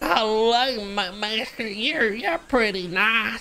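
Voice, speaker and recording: Very slowly, a female-sounding put-on character voice talks at a fairly high pitch. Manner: stammering, naive.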